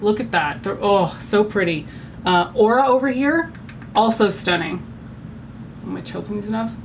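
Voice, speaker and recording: Speaking with a Canadian accent, a woman uses a medium pitch, lively intonation and an animated tone at a moderate pace, leaving long, frequent pauses. The recording has noticeable background noise and audible room echo. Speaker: beauty vlogger. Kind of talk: makeup tutorial chat. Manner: loud; casual, animated.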